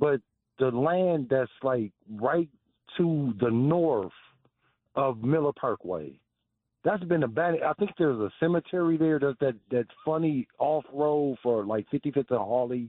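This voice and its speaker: A man speaks at a fairly slow pace with lively intonation, a fairly high pitch, very even loudness and an unremarkable speaking voice. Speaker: caller, contractor. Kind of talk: call-in conversation. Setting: phone call.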